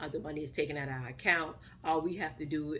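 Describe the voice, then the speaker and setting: With a Southern US accent, a woman talks at a fairly quick pace in a very deep, low pitch and fairly even intonation. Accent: Southern US, country. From US South, Mississippi. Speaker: vlogger. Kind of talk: casual vlog talk. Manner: fast, words chopped.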